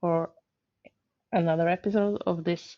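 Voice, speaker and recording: Speaking at a fairly slow pace, a woman has a Norwegian accent. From Norway. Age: 40s. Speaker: gaming YouTuber. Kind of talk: gameplay commentary. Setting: home, on the sofa. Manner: hesitant, many filler words.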